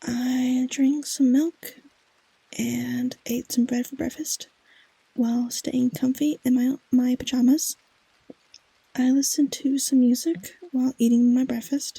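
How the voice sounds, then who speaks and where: A soft-spoken voice with a gentle tone. It moves at a fairly slow pace, broken by long, frequent pauses. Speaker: ASMR vtuber. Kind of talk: ASMR comfort affirmations read from a script. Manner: soft-spoken, gentle.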